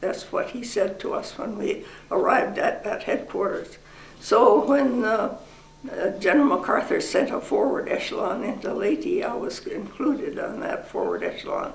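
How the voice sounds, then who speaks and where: Noticeable background noise behind a woman's moderately paced speech. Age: 80s+. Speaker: war veteran. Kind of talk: interview answer.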